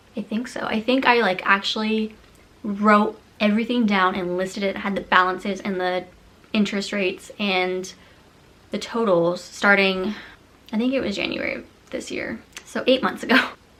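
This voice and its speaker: Against noticeable background noise, a woman with an American accent and a medium pitch talks at a moderate pace, with fairly even intonation and long, frequent pauses. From California, Silicon Valley. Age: 20s. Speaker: vlogger. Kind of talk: casual vlog talk. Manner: chatty, filler-heavy.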